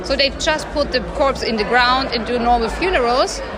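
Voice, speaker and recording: A high-pitched woman's voice with audible room echo and crowd noise in the background. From Germany. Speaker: journalist and army veteran. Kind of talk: interview.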